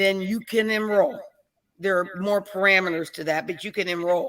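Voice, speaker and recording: A woman speaks with an American accent at a moderate pace, her pitch in the medium range. Her tone is bright and sharp, with ordinary pitch variation. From Pittsburgh, Pennsylvania. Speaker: Medicare and Medicaid advisor. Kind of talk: informational interview.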